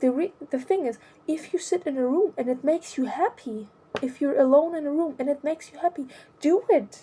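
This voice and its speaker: With a non-native accent, a woman speaks in a high-pitched, dark and mellow voice and lively intonation. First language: not English. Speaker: vlogger. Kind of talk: personal monologue. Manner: halting.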